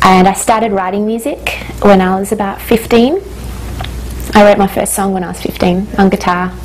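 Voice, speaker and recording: Noticeable background noise sits behind a woman's medium-pitched voice. She keeps a moderate pace and fairly even intonation. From Australia, Hungarian parents. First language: Hungarian. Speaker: singer-songwriter. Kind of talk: interview.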